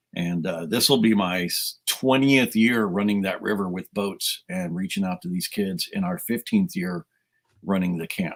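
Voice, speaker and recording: A man's plain, everyday voice, fairly low in pitch, at a moderate pace with lively intonation. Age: 60s. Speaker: youth minister. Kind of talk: casual chat. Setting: live stream interview.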